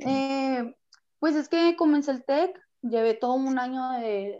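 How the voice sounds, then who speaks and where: A woman speaks with a dark, mellow tone. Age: 20s. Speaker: young mother, nail technician and gym owner. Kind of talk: casual chat.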